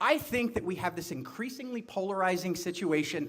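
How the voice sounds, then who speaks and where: A man speaks loudly in a high voice with an energetic tone. His intonation is lively. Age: 40s. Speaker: political candidate. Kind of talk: campaign speech. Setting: bar event with audience. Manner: energetic, loud.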